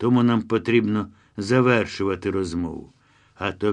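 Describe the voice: The clip is plain reading aloud. The text is simply read out.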